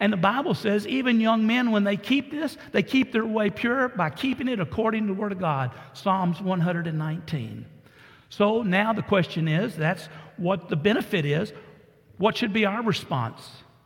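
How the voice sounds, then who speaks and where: With a Texan accent, a man speaks in a high pitch and lively intonation. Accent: Texan (US Southern). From Texas. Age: 70s. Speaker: pastor. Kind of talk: sermon. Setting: church.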